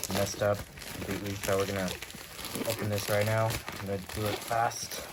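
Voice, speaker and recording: The speaker talks at a fairly quick pace. Background noise is noticeable. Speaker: YouTuber unboxing weather radios. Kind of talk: casual unboxing video with friends. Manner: fast.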